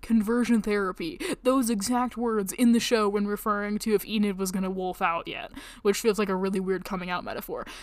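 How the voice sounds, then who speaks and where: On a very clean recording with a silent background, a woman delivers her words at a very fast pace. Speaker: podcaster and college student. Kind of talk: casual solo podcast monologue. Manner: casual, chatty, self-deprecating.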